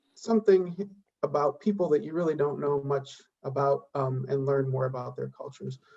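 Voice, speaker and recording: A man speaks with an American accent, a somewhat breathy voice and ordinary pitch variation. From United States. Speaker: university administrator. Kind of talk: welcome speech. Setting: online meeting. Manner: many filler words (um).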